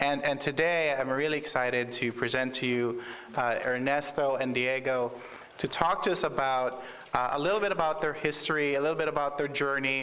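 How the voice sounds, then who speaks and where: Over noticeable background noise, a man speaks fairly quickly at a fairly high pitch and very even loudness. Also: fairly even intonation. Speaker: conference moderator. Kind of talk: panel moderation. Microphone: speaking without a mic at first.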